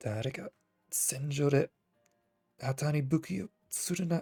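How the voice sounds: Over music in the background, a put-on character voice comes through nasal and low-to-middle in pitch at a moderate pace.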